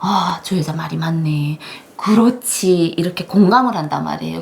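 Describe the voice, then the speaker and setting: A woman talks at a moderate pace, her pitch swinging very widely, with noticeable background noise behind her. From North Korea, North Hamgyong. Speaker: North Korean defector, former broadcaster. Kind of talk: interview.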